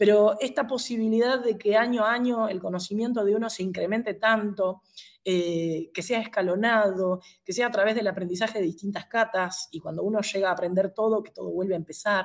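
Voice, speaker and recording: Fairly quick and fairly even in intonation, a woman talks in a plain, everyday voice. The recording is very clean, the background silent. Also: medium pitch for a woman. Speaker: karate instructor. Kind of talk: interview.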